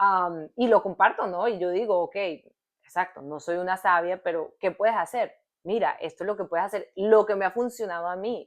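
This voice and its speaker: Over a quiet background, a woman with an ordinary speaking voice talks at medium pitch and a moderate pace. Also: ordinary pitch variation. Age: 30s. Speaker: podcast co-host. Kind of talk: casual chat.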